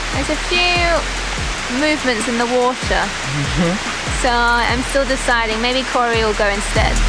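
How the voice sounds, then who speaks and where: A woman talks at a moderate rate while music sounds behind her. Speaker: travel vlogger. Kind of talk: casual vlog chat. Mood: excited, delighted. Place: waterside.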